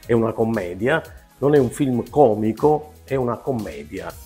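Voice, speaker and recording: Moderate-paced speech with a Neapolitan accent over faint background music. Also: man. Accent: Neapolitan Italian. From Naples, Italy. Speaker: comic actor. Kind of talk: interview answer. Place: home room. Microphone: lapel.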